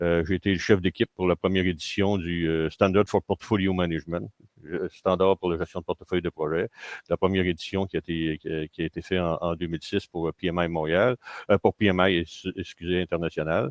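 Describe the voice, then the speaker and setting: A man's very deep, low voice, fairly quick in pace, with fairly even intonation. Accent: Quebec. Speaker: engineer and agile consultant. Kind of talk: conference keynote. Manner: hesitant, many fillers.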